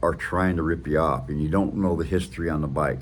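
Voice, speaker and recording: There is audible room echo as a man speaks in a relaxed tone with ordinary pitch variation. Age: 60s. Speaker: motorcycle vlogger. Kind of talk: casual vlog monologue. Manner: relaxed, with many fillers.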